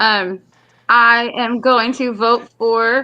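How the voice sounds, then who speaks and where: A woman speaks with a Texas accent. Her pitch is fairly high. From Texas, Longview. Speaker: comedian. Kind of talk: casual chat.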